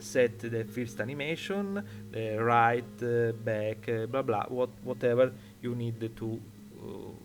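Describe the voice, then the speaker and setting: Fairly even intonation holds across speech delivered at a very slow pace. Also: man, medium pitch for a man. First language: Italian. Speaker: 3D software tutorial maker. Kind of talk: tutorial. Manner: halting, many fillers.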